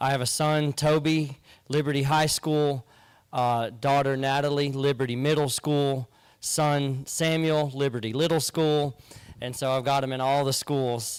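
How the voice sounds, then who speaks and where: In a South Carolina accent, a man talks at a fairly high pitch. His pace is fairly slow and his intonation monotone and flat. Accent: South Carolina Southern US. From South Carolina, US. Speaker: sheriff candidate, former Marine. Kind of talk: candidate campaign speech. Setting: town hall with live audience.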